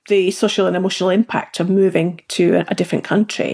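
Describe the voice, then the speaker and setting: A woman speaks at a medium pitch and a moderate pace, with vocal fry. The very clean recording has a silent background and a dry, close sound with no echo. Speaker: podcast host. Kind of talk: interview question.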